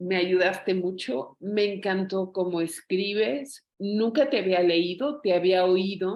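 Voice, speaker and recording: A woman's very slow speech at a medium pitch, with ordinary pitch variation. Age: 60s. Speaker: book club participant. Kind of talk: casual chat.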